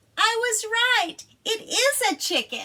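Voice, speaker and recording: A female-sounding, squeaky put-on character voice speaks very slowly at an extremely high pitch. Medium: read story. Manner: confident, matter-of-fact.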